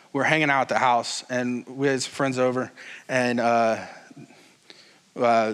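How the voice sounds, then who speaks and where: A man talks at a fairly slow pace in a medium pitch. Room echo is audible. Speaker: pastor. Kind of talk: sermon. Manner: loud; casual, animated.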